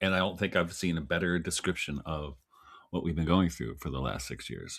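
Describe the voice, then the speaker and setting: A man speaks at a fairly quick pace in a very deep, low pitch with vocal fry and ordinary pitch variation, on a very clean recording with a silent background. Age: 60s. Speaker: writer and farmer. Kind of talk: casual chat.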